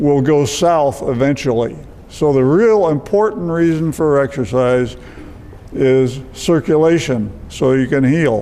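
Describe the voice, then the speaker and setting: A man speaks at a fairly high pitch with ordinary pitch variation, keeping a fairly slow pace and very even loudness. Noticeable background noise and audible room echo fill the recording. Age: 80s+. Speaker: retired physician. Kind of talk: lecture.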